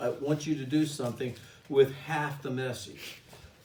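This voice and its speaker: A man's voice at a moderate pace, with audible room echo and noticeable background noise. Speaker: course instructor. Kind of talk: lecture. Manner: direct.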